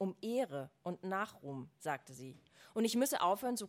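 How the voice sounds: The speaker reads. It is a natural reading voice.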